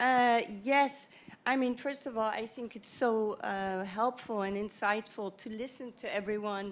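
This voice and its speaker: A woman's fairly high voice with fairly even intonation at a fairly slow pace. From Netherlands. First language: not English. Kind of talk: panel discussion. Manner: halting, many fillers.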